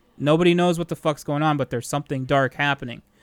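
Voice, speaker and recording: A plain, everyday voice belongs to this man, whose fairly high pitch moves with ordinary variation in a dry, close sound with no echo. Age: 30s. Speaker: IT technician and former band musician. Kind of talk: casual chat.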